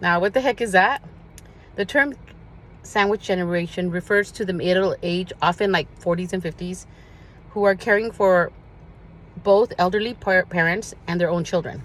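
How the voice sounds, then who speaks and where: A woman speaks at a moderate pace with a medium pitch. Her pitch varies in an ordinary way, and she takes long, frequent pauses. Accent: Spanish. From US, Spanish-speaking immigrant family. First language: Spanish. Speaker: social media vlogger. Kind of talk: personal address to viewers. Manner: earnest, some hesitation.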